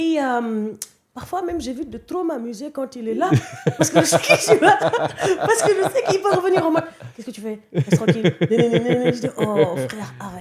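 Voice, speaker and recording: Noticeable background noise sits behind a woman speaking at a moderate pace in a high voice. Her pitch swings very widely, and her loudness varies a lot. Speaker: actress. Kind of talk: interview answer.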